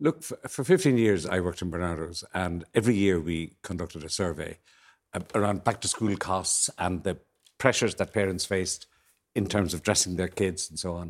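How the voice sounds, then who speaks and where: A man with a very deep, low voice and an Irish accent at a fairly quick pace, ordinary pitch variation, on a very clean recording with a silent background. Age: 70s. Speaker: panel guest commentator. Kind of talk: panel discussion.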